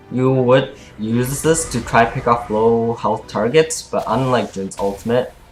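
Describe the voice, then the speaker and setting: A man at medium pitch, fairly slow in pace with hardly any pauses and fairly even intonation, over music in the background. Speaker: gamer. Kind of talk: game tutorial narration. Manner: stuttering.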